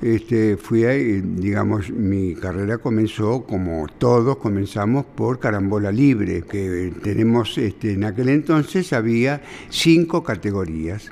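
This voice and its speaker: Through noticeable background noise, a man with a fairly low pitch speaks at a fairly slow pace with hardly any pauses. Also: lively intonation. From Buenos Aires, Argentina. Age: 80s+. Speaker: billiards champion and teacher. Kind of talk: interview.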